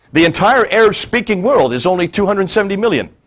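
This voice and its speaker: This is a man with an American accent. His pitch sits high. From India (grew up at an American missionary school). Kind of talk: talk to an audience.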